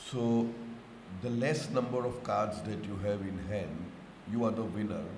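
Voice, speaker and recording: Amid noticeable background noise and audible room echo, a man speaks fairly slowly in a fairly low pitch, with ordinary pitch variation. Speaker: spiritual teacher. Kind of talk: lecture.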